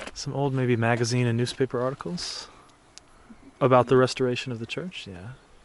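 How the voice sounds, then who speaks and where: A man with an American accent, medium pitch, and fairly even intonation, over noticeable background noise. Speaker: travel vlogger. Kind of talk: travel vlog narration. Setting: inside a church.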